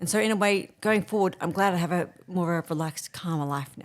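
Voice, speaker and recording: Speaking at a fairly quick pace with an Australian accent, a woman uses a fairly low pitch, ordinary pitch variation and big swings in loudness. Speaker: executive producer living with MS. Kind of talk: interview. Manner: fast; rushed, hard to follow.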